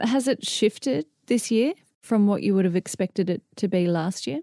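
A woman with an Australian accent and a dark, mellow tone, lively intonation, dry, close sound with no echo and a very clean recording with a silent background. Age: 30s. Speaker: podcast host. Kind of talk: interview; scripted narration.

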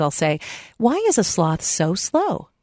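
A somewhat low voice from a woman. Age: 50s. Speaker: radio talk show host. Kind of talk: interview. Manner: animated.

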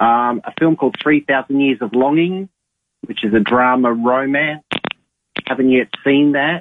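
Speaking fairly slowly with an Australian accent, this man has a fairly high pitch. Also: ordinary pitch variation. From Adelaide, Australia. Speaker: cinema manager. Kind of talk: casual radio chat, movie segment. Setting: phone call.

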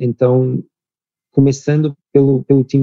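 A dry, close sound with no echo carrying a man's dark, mellow tone. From Portugal. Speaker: startup founder and CEO. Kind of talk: interview.

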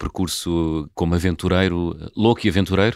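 A man with a very deep, low pitch talks at a moderate pace, keeping his intonation fairly even. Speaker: radio host. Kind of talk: interview; scripted introduction.

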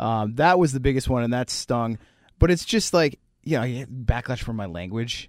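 This man has an unremarkable speaking voice, pitched in the medium range and delivered at a moderate pace. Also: lively intonation. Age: 40s. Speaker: podcaster and former musician. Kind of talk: casual interview chat.

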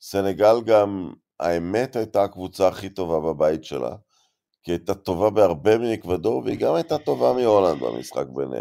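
A man with a very deep, low voice and a dark, mellow tone speaks at a moderate pace with lively intonation in a very clean recording with a silent background. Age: old. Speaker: football podcast host. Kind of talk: casual chat.

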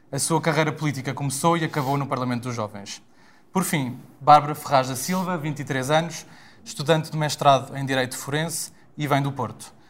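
Somewhat breathy and fairly high-pitched, a man talks at a fairly quick pace with fairly even intonation. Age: 20s. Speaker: podcast host. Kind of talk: show introduction and moderation.

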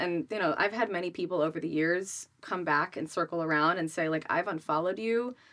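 With an American accent and an ordinary speaking voice, a woman talks at a fairly low pitch and a fairly quick pace with lively intonation and hardly any pauses, on a very clean recording with a silent background. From Rhode Island, US. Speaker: business coach and influencer. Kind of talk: casual interview.

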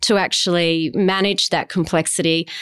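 Against a quiet background, a woman speaks at a fairly slow pace. Her pitch is medium, with ordinary variation. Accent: Australian. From South Australia, Adelaide. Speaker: diversity and inclusion consultant. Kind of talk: interview.

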